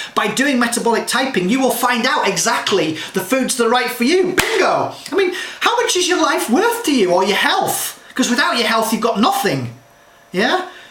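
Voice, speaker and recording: Noticeable background noise and audible room echo surround a man whose extremely high voice makes very wide pitch swings at very even loudness. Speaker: health and nutrition advisor. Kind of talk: direct-to-camera talk. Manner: fast; animated.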